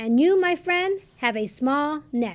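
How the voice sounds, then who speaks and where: A woman puts on a character voice, high-pitched and fairly slow in delivery. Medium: read story. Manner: gentle, conspiratorial.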